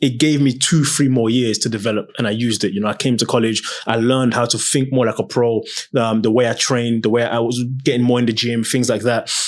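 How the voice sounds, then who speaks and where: A man with an English accent speaks at a very fast pace, his intonation monotone and flat. His loudness stays very even over noticeable background noise. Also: medium pitch for a man. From London, England. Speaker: former professional footballer. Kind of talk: interview.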